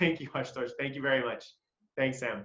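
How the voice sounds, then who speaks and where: A man speaks at a fairly quick pace. His tone is animated. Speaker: business coach. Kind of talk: webinar presentation. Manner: fast when excited.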